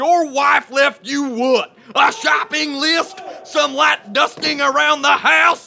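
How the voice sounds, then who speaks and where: Shouting over noticeable background noise. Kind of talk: comedy sketch, drill instructor parody. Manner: loud, barking, insulting, mock-gruff.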